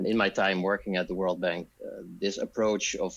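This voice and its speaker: With a Dutch accent, a man talks at a fairly quick pace in a fairly low pitch, his intonation monotone and flat. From Netherlands. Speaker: disaster risk specialist. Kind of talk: podcast interview.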